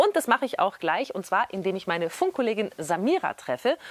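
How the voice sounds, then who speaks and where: This is a woman speaking. She goes at a fairly quick pace. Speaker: radio presenter. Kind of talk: tutorial. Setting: film school cinema. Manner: casual, lively.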